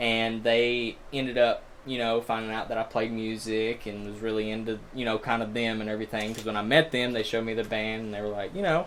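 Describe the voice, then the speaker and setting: Speaking with an Alabama accent, a man at medium pitch talks at a fairly quick pace with hardly any pauses and a monotone, flat intonation. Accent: Southern (Alabama), noticeable. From Alabama, small town. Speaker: bassist in a metal band. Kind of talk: casual chat.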